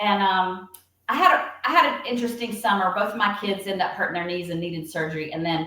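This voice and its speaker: A woman talks at a very fast pace in a medium pitch with ordinary pitch variation. Audible room echo surrounds her voice. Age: 60s. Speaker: retired teacher and former athletic trainer. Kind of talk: casual interview. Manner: halting, many fillers.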